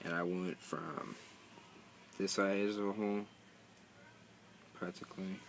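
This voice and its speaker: Against noticeable background noise, a man speaks fairly slowly in a very deep, low pitch with monotone, flat intonation. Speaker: vlogger. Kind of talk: casual video tutorial. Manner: halting, many fillers and pauses.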